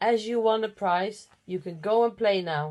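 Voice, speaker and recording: A woman performs a put-on character voice. Her pitch is medium and her pace moderate. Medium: read story.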